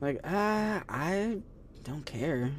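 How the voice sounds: Breathy and set at a middle pitch, this is a put-on character voice.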